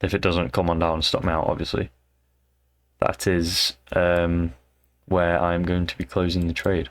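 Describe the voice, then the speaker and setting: Soft-spoken, with a British accent, the speaker keeps a moderate pace broken by long, frequent pauses. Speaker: amateur trader. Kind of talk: casual trading vlog. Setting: at home, in bed late at night. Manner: casual, hesitant with fillers; quiet, talking softly late at night.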